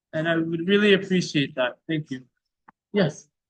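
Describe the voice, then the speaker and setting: A voice with a bright, sharp tone moves through ordinary pitch variation. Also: man. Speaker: lab teaching assistant. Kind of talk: lab instruction.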